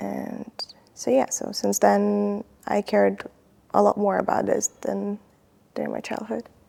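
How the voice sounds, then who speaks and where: The speaker talks at a fairly slow pace, with long, frequent pauses. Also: woman. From Ukraine. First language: Ukrainian. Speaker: combat medic. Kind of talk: interview.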